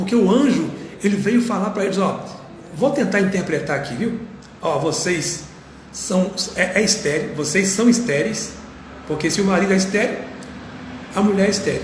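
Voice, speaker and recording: A high-pitched man at a moderate pace, with ordinary pitch variation, long and frequent pauses, audible room echo and noticeable background noise. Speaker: pastor. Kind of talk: sermon. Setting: live stream. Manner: soft-spoken.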